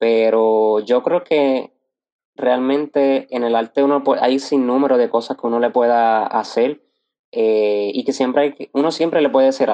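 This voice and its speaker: A man with a medium pitch speaks fairly slowly, his intonation fairly even. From Puerto Rico, Arecibo. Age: 20s. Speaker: graphic designer and entrepreneur. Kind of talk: interview. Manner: halting, with frequent fillers.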